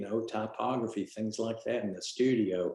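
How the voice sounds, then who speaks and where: A man speaks in a fairly low pitch. His pace is fairly slow. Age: 60s. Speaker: former art student, photographer. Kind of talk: casual chat. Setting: video call. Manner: halting.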